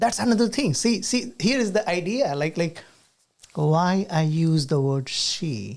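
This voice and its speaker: The speaker has an Indian accent. The pace is fairly slow. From rural India. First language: Hindi. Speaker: podcast host and university teacher. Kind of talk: casual chat.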